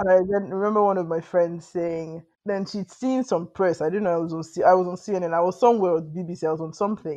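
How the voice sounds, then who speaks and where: A woman with a Nigerian accent speaks at a fairly quick pace with hardly any pauses, her dark, mellow voice fairly low and her intonation fairly even. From Nigeria, Lagos. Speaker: novelist. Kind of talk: interview conversation.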